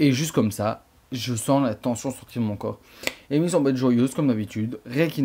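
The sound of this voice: Pitch moves up and down in an ordinary way through an unforced reading voice.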